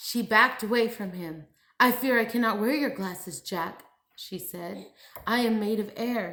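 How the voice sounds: Here the speaker reads in a natural reading voice.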